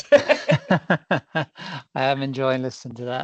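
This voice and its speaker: A man speaks at a medium pitch with an Irish accent. The background is quiet. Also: dry, close sound with no echo. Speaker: business leader, meeting attendee. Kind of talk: Q&A question. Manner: halting, with false starts.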